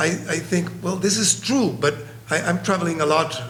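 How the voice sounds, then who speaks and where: Noticeable background noise and audible room echo frame a man with a Spanish accent. His pitch is fairly high and his pace fairly slow. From Colombia. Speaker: psychiatrist. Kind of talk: conference presentation. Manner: halting.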